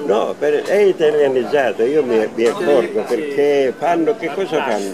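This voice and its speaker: A man with a fairly high pitch talks at a fairly slow pace. There is noticeable background noise. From Calabria, Italy. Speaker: teacher. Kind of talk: interview answer. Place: street. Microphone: lapel.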